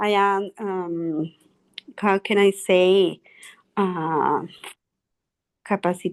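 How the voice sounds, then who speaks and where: With a Spanish accent, a woman speaks at a medium pitch in a flat monotone, very slowly and with long, frequent pauses, against a quiet background. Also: dry, close sound with no echo. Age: 60s. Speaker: English learner. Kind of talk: language class conversation. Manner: halting.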